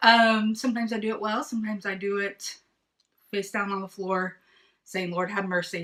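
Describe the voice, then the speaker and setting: A woman with a slight Southern US accent speaks at a fairly quick pace. Her medium-pitched voice has a bright, sharp tone and fairly even intonation. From East Texas. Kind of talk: casual chat. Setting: video livestream. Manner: loud.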